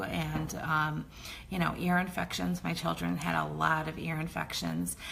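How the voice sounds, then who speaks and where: A woman at a moderate pace, with audible room echo. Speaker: essential oils educator. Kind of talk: online class. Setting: Facebook live stream. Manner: hesitant, many fillers.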